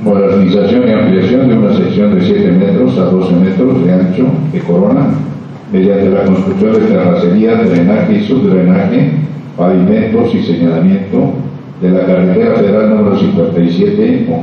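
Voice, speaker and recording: A man at a moderate pace, his loudness very even, amid strong room echo and light background noise. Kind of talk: formal procedural reading. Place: meeting room. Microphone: camera far.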